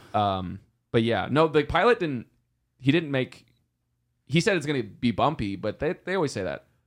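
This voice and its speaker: A man talks at a moderate pace in a fairly high voice with vocal fry, very wide pitch swings and long, frequent pauses. The recording is very clean, with a silent background. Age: 20s. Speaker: podcast co-host. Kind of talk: casual chat.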